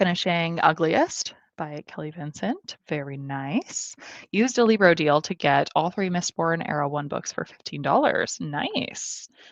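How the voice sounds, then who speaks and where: Speaking at a fairly slow pace with lively intonation, a woman with a Midwestern American accent has a fairly low pitch, the sound dry and close with no echo over a quiet background. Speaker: booktuber hosting reading livestream. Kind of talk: livestream chat reading comments. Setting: home livestream.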